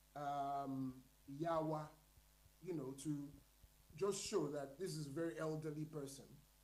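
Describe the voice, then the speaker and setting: A man speaks with a Nigerian accent in a fairly high voice. His pace is fairly slow, and room echo is audible. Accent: Nigerian (Yoruba) English. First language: Yoruba. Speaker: panelist at literary colloquium. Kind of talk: panel discussion.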